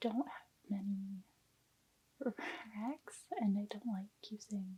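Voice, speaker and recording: Soft-spoken and very slow, the woman has a dark, mellow tone and ordinary pitch variation. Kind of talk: ASMR soft-spoken talk.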